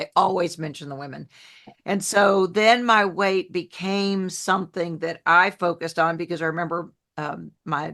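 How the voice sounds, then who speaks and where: With a Southern US accent, a woman talks at a moderate pace in a fairly low pitch with fairly even intonation against a quiet background. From New Orleans, US South (raised from age ten). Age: 60s. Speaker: health coach, former TV journalist. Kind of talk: podcast interview. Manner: warm, down-to-earth.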